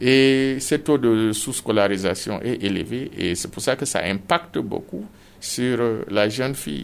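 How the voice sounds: A man speaks at a fairly slow pace and medium pitch with vocal fry. His intonation is lively.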